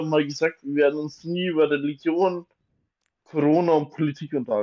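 Using a plain, everyday voice, a man speaks fairly high in pitch at a moderate pace. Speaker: podcast co-host. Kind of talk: casual chat. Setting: home attic room.

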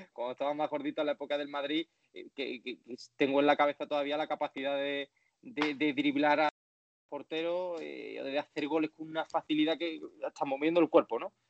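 With an Andalusian accent, a man talks at a fairly quick pace and fairly high pitch. His intonation stays fairly even while his loudness swings widely. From Andalusia, Spain. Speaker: sports journalist. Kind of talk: interview. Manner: halting, many repetitions.

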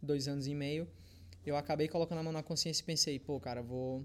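Fairly quick and lively in intonation, a man talks at a fairly high pitch. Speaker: fitness content creator. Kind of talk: casual chat.

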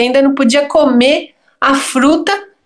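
A woman's high-pitched voice. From Brazil, São Paulo area (Santo André). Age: 50s. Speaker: visual artist and teacher. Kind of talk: interview conversation.

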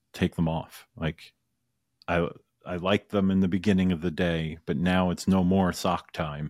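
Against a silent background in a very clean, dry, close recording with no echo, a man speaks with a very deep, low pitch and monotone, flat intonation. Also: moderate pace. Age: 40s. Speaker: podcast host. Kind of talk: casual chat.

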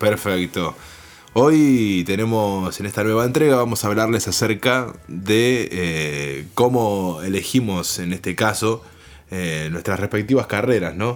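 A man with a fairly low pitch and ordinary pitch variation talks very slowly. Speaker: radio announcer. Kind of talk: casual chat. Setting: home. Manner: formal.

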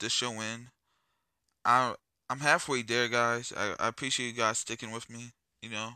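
A man with a medium-pitched, bright and sharp voice talks at a fairly quick pace in a flat monotone, recorded very cleanly against a silent background. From US inner city. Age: 30s. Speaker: podcast host. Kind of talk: casual monologue. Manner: filler-heavy, loose.

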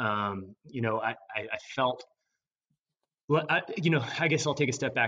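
A man with an American accent, a bright, sharp tone and a fairly quick pace. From Maryland, US. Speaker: venture capital investor. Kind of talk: interview. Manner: halting.

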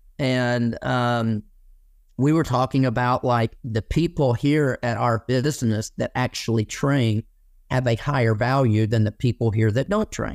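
A man with an Alabama accent speaks with fairly even intonation. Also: medium pitch for a man, fairly slow pace. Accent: Southern US (Alabama). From Alabama, US South. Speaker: landscaping business owner. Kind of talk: interview. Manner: casual, many fillers.

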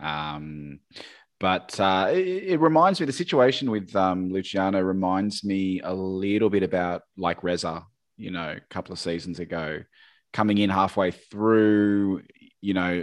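Speaking at a fairly slow pace, a man with a very deep, low voice talks in an Australian accent against a quiet background. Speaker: podcast host. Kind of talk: casual chat.

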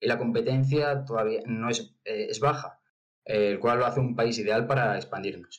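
At a moderate pace, a man talks with medium pitch in an ordinary speaking voice. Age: young. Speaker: startup cofounder. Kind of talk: pitch presentation.

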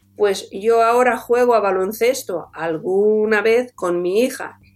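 A woman talks at a fairly high pitch in a strong Catalan accent. Her intonation is lively. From Catalonia, Tarragona. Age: 40s. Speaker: orthopaedic surgeon and author. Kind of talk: interview. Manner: animated.

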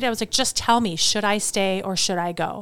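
A woman's normal speaking voice in an American accent, fairly even in intonation, on a very clean recording with a silent background. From US Midwest, Wisconsin. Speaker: photographer and designer. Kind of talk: casual interview. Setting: studio.

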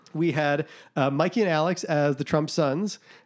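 A man with an American accent and an ordinary speaking voice, fairly high in pitch, at a fairly slow pace. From Boston, US. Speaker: podcast host. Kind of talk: casual chat.

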